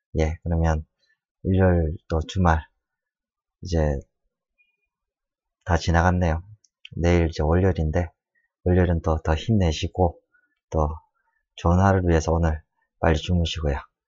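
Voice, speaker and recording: A man's very deep, low voice in a flat monotone, very even in loudness, at a moderate pace broken by long, frequent pauses. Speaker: design tutorial maker. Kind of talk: tutorial. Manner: halting, many fillers.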